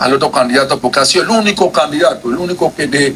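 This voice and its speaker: Someone with a Panamanian accent talks at a fairly quick pace over noticeable background noise. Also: man. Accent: Colón Panamanian. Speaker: legislator. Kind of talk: committee speech. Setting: legislative committee session. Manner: forceful.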